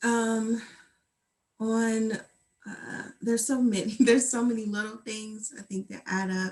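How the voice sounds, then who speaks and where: A woman speaks in a somewhat breathy voice. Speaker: mental health helper. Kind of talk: interview. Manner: slow; soft-spoken.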